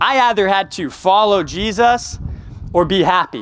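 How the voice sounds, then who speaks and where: A man speaks with a Texan accent. His pitch is high. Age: 20s. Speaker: campus ministry director. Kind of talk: sermon.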